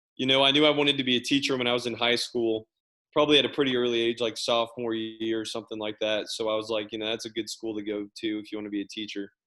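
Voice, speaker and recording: Speaking with an American accent, a man talks at a very fast pace. His pitch is medium and his intonation fairly even. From Kansas City area. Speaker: teacher and coach. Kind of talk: casual chat. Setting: video call.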